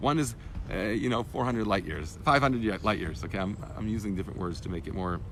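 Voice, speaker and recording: A man at a very fast pace, with audible room echo. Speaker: rabbi teaching Torah class. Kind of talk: lecture. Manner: halting, self-correcting.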